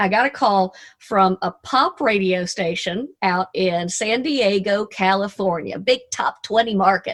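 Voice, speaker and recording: A woman speaks with a Southern US accent at a fairly slow pace, with hardly any pauses. The recording is very clean and the background silent. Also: medium pitch for a woman, ordinary pitch variation. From US South, Arkansas. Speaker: motivational speaker and radio DJ. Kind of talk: motivational talk. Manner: animated.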